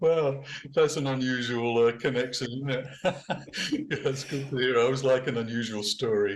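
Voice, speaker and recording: Against noticeable background noise, a man with an English accent speaks at a moderate pace, his medium pitch and intonation fairly even. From England. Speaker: band musician and producer. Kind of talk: casual chat.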